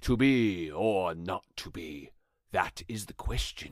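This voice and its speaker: Using a put-on character voice, a man speaks very deep and low at a fairly slow pace with lively intonation. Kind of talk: theatrical verse delivery. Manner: pompous, declamatory.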